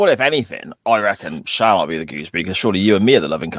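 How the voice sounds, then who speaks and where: Speaking with a West Country accent, a man goes at a very fast pace with a fairly low pitch. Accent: West Country, Gloucestershire. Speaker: podcast host. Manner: casual, jokey banter.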